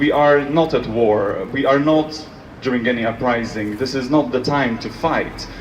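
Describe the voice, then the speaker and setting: There is audible room echo and noticeable background noise as a man with a Polish accent speaks at a fairly slow pace, medium pitch and fairly even intonation. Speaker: speaker at commemoration. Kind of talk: public speech.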